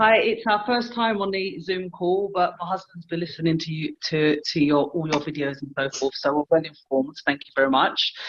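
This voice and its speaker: A woman with a London accent speaks at a moderate pace, her pitch fairly low and her intonation lively. She hardly pauses at all, and her loudness swings widely. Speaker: caller. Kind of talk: casual Q&A. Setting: video call.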